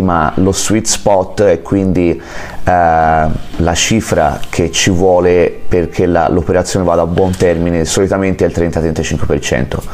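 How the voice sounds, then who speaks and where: A man with a very deep, low voice speaks at a fairly slow pace over noticeable background noise. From Italy, Florence. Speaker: real estate agent and mortgage broker. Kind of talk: interview. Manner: halting.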